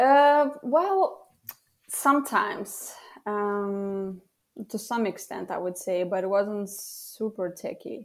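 Very slow speech with a Lithuanian accent and ordinary pitch variation. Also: woman, medium pitch for a woman. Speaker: copywriter and former journalist. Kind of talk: casual interview. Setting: remote call.

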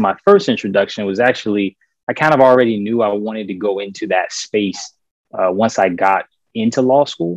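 A man with an American accent and a normal speaking voice, fairly low in pitch with ordinary pitch variation, at a moderate pace, in a dry, close sound with no echo against a quiet background. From US South, Richmond, Virginia. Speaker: lawyer and investor. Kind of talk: podcast interview. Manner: frequent fillers (um, uh).

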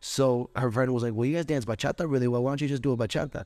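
A man talks on a very clean recording with a silent background. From Orlando, Florida. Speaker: professional dancer. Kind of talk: interview.

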